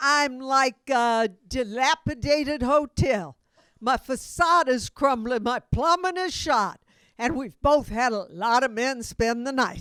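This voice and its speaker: A woman speaks at a very slow pace in a high pitch with ordinary pitch variation. The recording is very clean with a silent background, and the sound is dry and close with no echo. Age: 70s. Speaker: stand-up comedian. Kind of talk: stand-up; casual chat.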